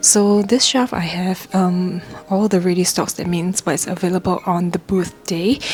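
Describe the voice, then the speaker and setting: A woman whispers at a moderate pace. Music plays in the background. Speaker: small business owner vlogger. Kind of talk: vlog tutorial walkthrough. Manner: whispering.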